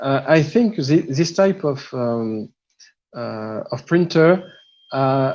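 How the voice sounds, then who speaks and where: A man's dark, mellow voice with a French accent, at a very slow pace. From France. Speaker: 3D printing hobbyist. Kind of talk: technical explanation on a live show. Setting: live video stream. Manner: halting, many fillers and repeats.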